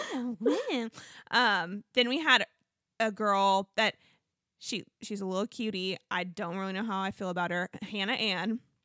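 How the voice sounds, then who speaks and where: A woman's medium-pitched voice, bright and sharp in tone, at a fairly slow pace with ordinary pitch variation, dry and close with no echo, on a very clean recording with a silent background. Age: 30s. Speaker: podcast co-host. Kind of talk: casual chat.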